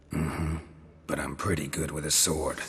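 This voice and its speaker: Raspy and very deep, a man's put-on character voice moves at a moderate pace. Background noise is clearly audible. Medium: video game. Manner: terse, deadpan.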